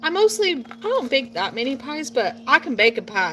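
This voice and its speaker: A raised, projected voice with an American accent swings very widely in pitch. Music plays in the background. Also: woman. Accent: sometimes a southern drawl. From Portland, Oregon. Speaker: nursing student and gardener vlogger. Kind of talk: casual vlog monologue. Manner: chatty, rambling.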